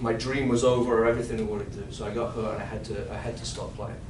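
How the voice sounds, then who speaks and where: A man with a non-native accent at a medium pitch, very fast pace, noticeable background noise and audible room echo. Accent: foreign. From outside the US. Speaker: financial advisor and sales trainer. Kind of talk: sales role-play; training workshop.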